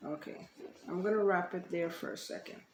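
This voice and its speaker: Soft-spoken, a woman talks at a fairly slow pace with ordinary pitch variation. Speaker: DIY upholstery creator. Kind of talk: tutorial.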